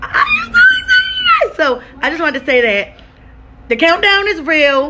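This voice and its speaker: Over light background noise, a woman uses a raised, projected voice with ordinary pitch variation. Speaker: vlogger. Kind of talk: casual vlog chat. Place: home room. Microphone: phone near.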